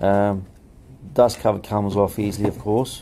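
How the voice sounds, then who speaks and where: A man with a fairly low pitch, a fairly slow pace, and light background noise. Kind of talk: tutorial. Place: workshop. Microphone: phone near.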